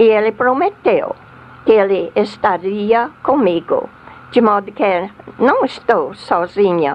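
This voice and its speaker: A woman speaks at a very slow pace with an American accent. Her pitch varies in an ordinary way, and there is noticeable background noise. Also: fairly high pitch for a woman. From US South. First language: English (speaking Portuguese). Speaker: missionary. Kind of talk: testimony. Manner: halting.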